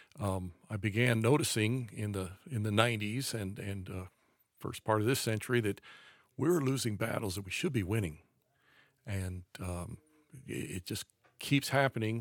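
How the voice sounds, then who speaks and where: At a moderate pace, a man with an American accent speaks in a normal speaking voice with ordinary pitch variation, the sound dry and close with no echo. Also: very clean recording, silent background. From US, raised around the country. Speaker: conservative author and commentator. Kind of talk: casual chat.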